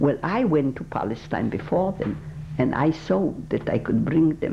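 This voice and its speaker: Over noticeable background noise, a woman with a very deep, low pitch talks at a moderate pace with lively intonation. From Poland. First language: Polish. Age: 80s+. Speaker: Holocaust survivor. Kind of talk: oral history interview. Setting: recorded interview. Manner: halting.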